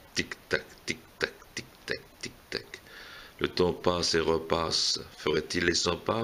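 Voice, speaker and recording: A man's very deep, low voice, very slow and monotone, with flat intonation and long, frequent pauses. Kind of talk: poetry reading. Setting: casual gathering among friends.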